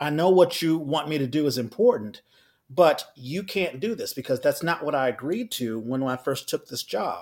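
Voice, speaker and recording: This is an unremarkable speaking voice, a man's, fairly high in pitch with an American accent. He speaks at a moderate pace with lively intonation. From Washington D.C. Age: 50s. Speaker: actor and playwright. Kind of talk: interview.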